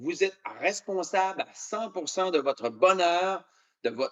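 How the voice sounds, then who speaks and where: A man with a Canadian French accent speaks at a fairly slow pace in a high voice. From Canada (Quebec). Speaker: motivational speaker. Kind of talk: keynote speech. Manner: hesitant with many fillers.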